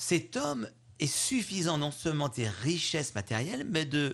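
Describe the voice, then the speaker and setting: Ordinary pitch variation marks the somewhat breathy speech of a man. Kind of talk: homily, a spoken Gospel commentary, reflective and pastoral. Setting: radio studio interview. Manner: earnest, measured, explanatory, warm.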